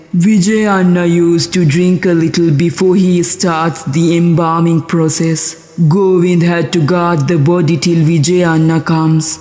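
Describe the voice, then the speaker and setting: A man's cartoonish character voice, high-pitched and monotone, at a moderate pace. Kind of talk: horror narration.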